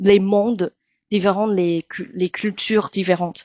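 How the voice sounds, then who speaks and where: Dry and close with no echo, a woman with a Chinese accent speaks at a fairly slow pace in a flat, monotone way, her tone dark and mellow. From Taiwan. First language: Mandarin (speaking French). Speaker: actress and singer. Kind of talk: interview. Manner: halting with many hesitations.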